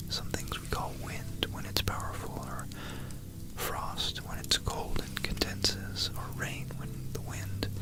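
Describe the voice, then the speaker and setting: A man whispers at a very slow pace. Noticeable background noise sits behind him. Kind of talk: ASMR history talk. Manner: whispered.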